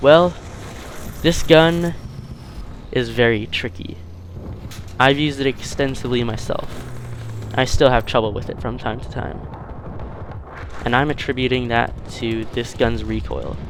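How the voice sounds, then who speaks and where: A man at medium pitch speaks at a fairly slow pace with long, frequent pauses and ordinary pitch variation. Audible room echo and noticeable background noise fill the recording. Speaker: video game YouTuber. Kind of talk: gameplay commentary review. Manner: stuttering.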